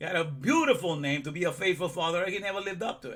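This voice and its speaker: A man's high, bright, sharp voice, animated in tone, at a fairly quick pace with ordinary pitch variation and audible room echo. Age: 60s. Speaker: religious teacher. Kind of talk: sermon.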